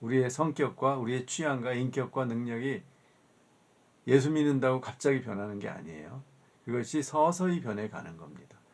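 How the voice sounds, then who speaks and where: With an unremarkable speaking voice at a medium pitch, a man talks at a moderate pace, his intonation lively and his loudness swinging widely. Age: 60s. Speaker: professor. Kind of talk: lecture. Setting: recorded video lecture. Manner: conversational, with fillers.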